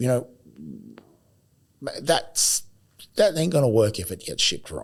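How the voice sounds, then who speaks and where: A man with vocal fry speaks at a moderate pace and a medium pitch, his pitch swinging very widely. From Australia, Adelaide. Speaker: podcast host and recruiter. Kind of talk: casual chat. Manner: animated.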